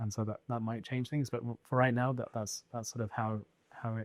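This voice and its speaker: A man speaks fairly quickly in a Birmingham accent. His intonation is flat and monotone. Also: dry, close sound with no echo. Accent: British English, Birmingham. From England, Birmingham. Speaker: scientist and tech founder. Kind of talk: interview. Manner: halting, many fillers and repeats.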